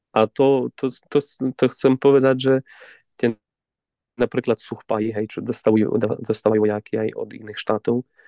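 A man speaks in a dark, mellow tone with monotone, flat intonation, and the sound is dry and close with no echo. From Ukraine, Zakarpattia mountains. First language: Ukrainian (speaking Slovak). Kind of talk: interview. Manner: halting, repeats words.

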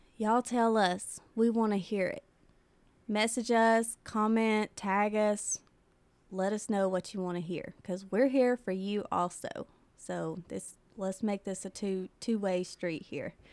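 A woman talks with a Tennessee accent at a medium pitch. She goes at a fairly slow pace with fairly even intonation. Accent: Southern US (Tennessee). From US South, Tennessee (Mount Pleasant). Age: 20s. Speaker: podcast host. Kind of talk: casual chat.

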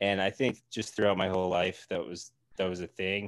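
Over a quiet background, a man speaks at a very deep, low pitch. His delivery is monotone and flat at a fairly slow pace. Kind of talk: casual chat. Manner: deadpan; halting.

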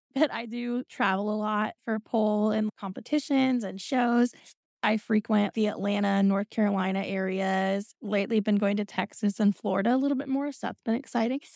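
A woman with an American accent and an ordinary speaking voice, fairly high in pitch and fairly even in intonation, in a dry, close sound with no echo on a very clean recording with a silent background. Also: moderate pace. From Indiana. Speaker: pole dancer and burlesque performer. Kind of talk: casual chat.

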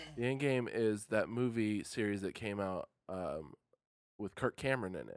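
Here is a plain, everyday voice from a man at a medium pitch with ordinary pitch variation. He speaks at a moderate pace, and the sound is dry and close with no echo. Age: 20s. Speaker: podcast co-host. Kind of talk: casual chat. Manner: laughs often.

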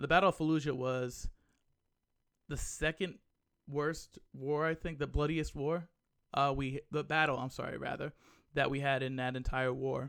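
On a very clean recording with a silent background, a man talks with an American accent at a fairly high pitch. He keeps a moderate pace broken by long, frequent pauses. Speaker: gaming podcast host. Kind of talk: solo commentary podcast. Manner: subdued, less animated than usual; halting, many fillers.

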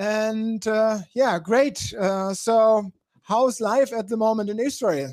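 Speaking very slowly, a man uses a high pitch with ordinary pitch variation. He has a German accent. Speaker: talk show host. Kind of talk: live interview talk. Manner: halting.

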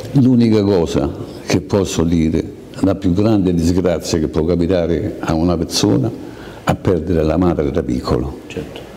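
Pitch rises and falls in an ordinary way at a moderate tempo. Background noise is clearly audible. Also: man, very deep, low pitch for a man. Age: 80s+. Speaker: Holocaust survivor. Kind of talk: testimony.

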